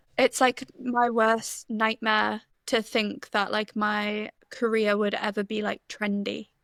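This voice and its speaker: A woman's fairly high, monotone voice at a very slow pace, flat in intonation, dry and close with no echo, on a very clean recording with a silent background. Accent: slight North East English. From North East England, Stockton-on-Tees. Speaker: music journalist and writer. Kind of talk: casual chat.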